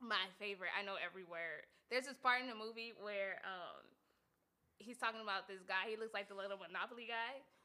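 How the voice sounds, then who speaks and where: A woman with a Southern California accent speaks at a fairly quick pace in an animated tone, bright and sharp, at a fairly high pitch. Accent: Southern California American English. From US West Coast, South Central Los Angeles. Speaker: podcast host. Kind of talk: casual chat.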